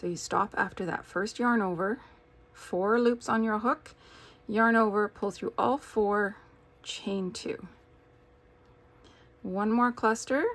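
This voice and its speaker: A woman's fairly high voice at a very slow pace, with long, frequent pauses and fairly even intonation. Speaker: crochet teacher. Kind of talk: tutorial. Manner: casual, with filler words.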